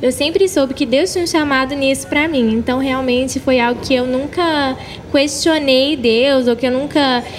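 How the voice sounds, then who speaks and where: Noticeable background noise under a woman's high voice. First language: English (speaking Portuguese). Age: 20s. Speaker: gospel singer. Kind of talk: interview. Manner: animated.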